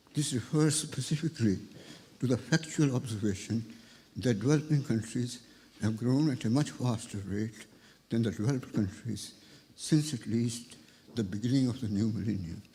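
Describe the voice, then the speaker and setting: At a moderate pace, a man with a dark, mellow tone sounds somewhat breathy and leaves long, frequent pauses. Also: medium pitch for a man, ordinary pitch variation. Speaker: economics professor. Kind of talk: reading a prepared lecture.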